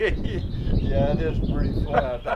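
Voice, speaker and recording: A man speaks over noticeable background noise. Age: 80s+. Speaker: rancher. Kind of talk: interview answer. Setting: outdoors.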